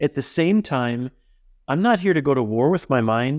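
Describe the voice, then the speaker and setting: Over a quiet background, a man talks at a moderate pace in a fairly high pitch. It is an ordinary speaking voice, dry and close with no echo. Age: 50s. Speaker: author and love activist. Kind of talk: interview.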